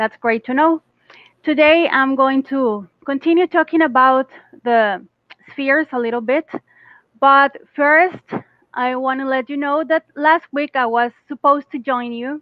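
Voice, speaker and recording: A woman with a Costa Rican accent and a high voice speaks at a fairly slow pace, with ordinary pitch variation and long, frequent pauses. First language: Spanish. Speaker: English teacher. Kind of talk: casual chat.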